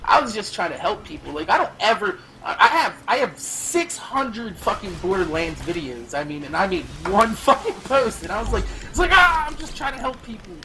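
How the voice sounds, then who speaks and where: A man with a high voice speaks in a raised, projected way at a fairly quick pace, his pitch and loudness swinging widely. Audible room echo and noticeable background noise fill the recording. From New Jersey. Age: 20s. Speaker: gaming YouTuber. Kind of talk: casual chat. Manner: brash.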